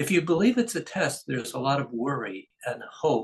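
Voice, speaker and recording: Vocal fry comes through alongside very wide swings in pitch. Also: man. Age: 70s. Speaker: golf coach. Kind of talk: interview.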